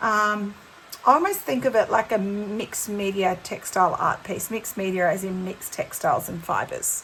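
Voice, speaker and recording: A woman with an Australian accent and ordinary pitch variation, against light background noise. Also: moderate pace. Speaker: textile art teacher. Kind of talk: tutorial. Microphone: phone near.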